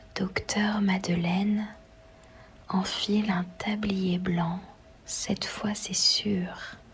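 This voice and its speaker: The speech moves at a very slow pace. Noticeable background noise runs behind it. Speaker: ASMR reader. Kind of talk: novel reading. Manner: whispered, soft, relaxing.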